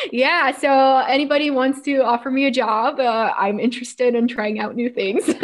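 Noticeable background noise sits under a woman's high-pitched voice with ordinary pitch variation. She speaks with hardly any pauses. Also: moderate pace. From Quebec, suburb of Montreal. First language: French. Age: 20s. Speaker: mountaineer and thru-hiker. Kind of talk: casual interview chat.

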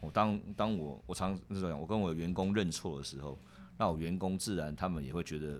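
This man speaks at a fairly quick pace in a very deep, low pitch with ordinary pitch variation. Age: 50s. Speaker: securities executive and university lecturer. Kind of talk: interview conversation. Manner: halting, frequent word repetition.

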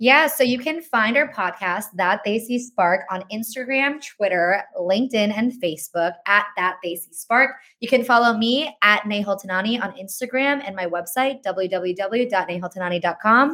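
A woman with a medium pitch and a bright, sharp tone speaks at a moderate pace with lively intonation and hardly any pauses. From Indian-American family. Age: 20s. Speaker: podcast co-host and content marketer. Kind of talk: casual interview chat.

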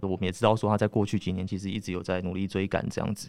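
At a very fast pace, a man talks in a fairly low, monotone voice with flat intonation. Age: 20s. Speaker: magazine journalist. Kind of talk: interview discussion.

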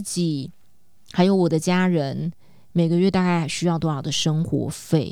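Speaking in an animated tone, the woman has a fairly low voice. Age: 40s. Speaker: podcast co-host and life coach. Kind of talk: casual chat.

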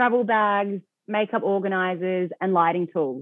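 A woman with an Australian accent speaks at a medium pitch and a moderate pace, with ordinary pitch variation. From Australia, Melbourne. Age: 20s. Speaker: e-commerce founder. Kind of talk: interview.

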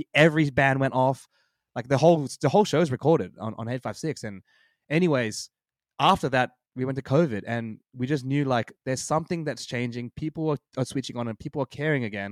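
A man with an Australian accent speaks with ordinary pitch variation on a very clean recording with a silent background. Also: medium pitch for a man, fairly quick pace, dry, close sound with no echo. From Australia, Sydney. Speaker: hardcore band frontman. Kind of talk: casual chat.

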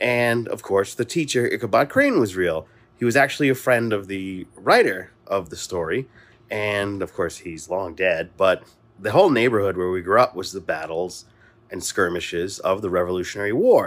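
An ordinary speaking voice with an American accent moves at a moderate pace with ordinary pitch variation on a very clean recording with a silent background. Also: man, fairly low pitch for a man. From Mount Vernon, New York. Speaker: podcast host. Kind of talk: voice message.

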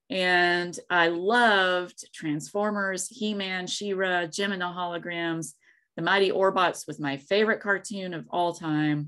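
A woman with an American accent speaks at a very slow pace in a bright, sharp tone. Her medium pitch carries fairly even intonation, on a very clean recording with a silent background. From US South, East Tennessee (Appalachia). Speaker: author. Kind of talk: interview.

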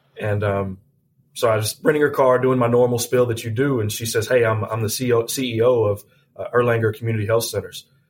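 Very fast and somewhat breathy, a man with a Southern US accent talks at medium pitch in a flat, monotone way. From US South, Tennessee (near Nashville). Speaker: healthcare executive. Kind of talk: interview. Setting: studio. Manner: halting, repeats words.

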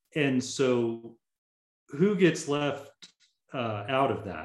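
A man's lively intonation amid audible room echo. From US South, Tallahassee, Florida. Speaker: fire management program director. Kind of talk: interview. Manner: casual, many fillers.

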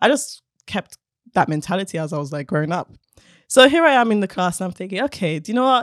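Animated and very fast, a woman with a London accent swings her pitch very widely in a very clean recording with a silent background and a dry, close sound with no echo. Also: medium pitch for a woman. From South London, England. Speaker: robotics engineer. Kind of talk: casual chat.

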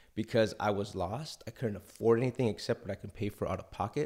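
A man's fairly low voice at a fairly quick pace, in a very clean recording with a silent background. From Los Angeles, Ecuadorian immigrant family. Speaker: TV writer and nonprofit executive. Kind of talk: interview storytelling. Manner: animated.

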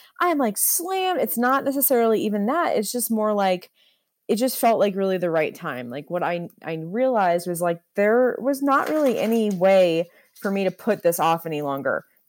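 The recording is very clean, with a silent background. A woman speaks at a medium pitch with very wide pitch swings. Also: moderate pace. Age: 30s. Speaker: photographer. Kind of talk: casual chat.

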